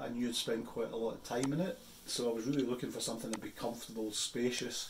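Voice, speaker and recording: Audible room echo and light background noise surround a man speaking with monotone, flat intonation. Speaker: outdoor gear reviewer. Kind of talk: casual vlog chat. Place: office. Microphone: phone near.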